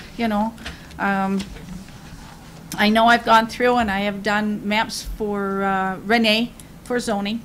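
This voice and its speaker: Speaking fairly slowly in a monotone, flat delivery, a woman with an American accent uses a fairly high pitch. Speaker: city assessor. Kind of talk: public meeting remarks. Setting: city commission meeting. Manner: halting.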